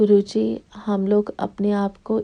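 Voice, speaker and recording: A woman with a non-native accent against a quiet background. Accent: non-native accent in Hindi. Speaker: devotee sharing testimony. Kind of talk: testimony. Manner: slow, careful; halting.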